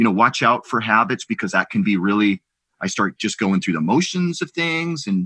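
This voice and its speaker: A man's bright, sharp tone with very wide pitch swings, dry and close with no echo, over a quiet background. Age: 50s. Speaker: podcast host. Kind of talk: interview.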